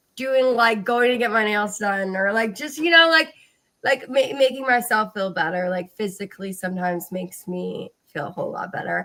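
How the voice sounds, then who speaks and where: Bright and sharp in tone, a woman's fairly high voice carries lively intonation at a moderate pace. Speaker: podcast host. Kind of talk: casual chat.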